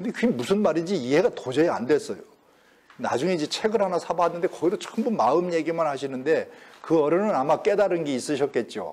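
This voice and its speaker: A man's high voice rattles along very fast, with lively intonation. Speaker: professor emeritus lecturing on Confucian classics. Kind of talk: lecture. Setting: lecture hall with audience.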